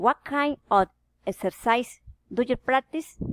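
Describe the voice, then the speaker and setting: With very wide pitch swings, a woman speaks at a very slow pace in a dry, close sound with no echo. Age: 30s. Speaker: language learner. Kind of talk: reading aloud.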